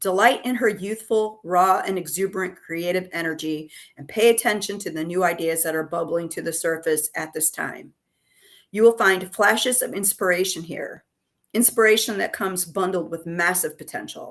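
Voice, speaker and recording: This woman has a plain, everyday voice with ordinary pitch variation and big swings in loudness, captured on a very clean recording with a silent background. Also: medium pitch for a woman, moderate pace. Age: 60s. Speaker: tarot reader. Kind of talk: reading card meanings aloud.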